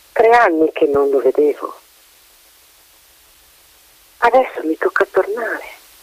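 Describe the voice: Using a put-on character voice, a man speaks at a slow pace with a high pitch and lively intonation, in a dry, close sound with no echo.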